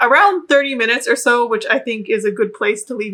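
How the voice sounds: A natural reading voice carries the clip.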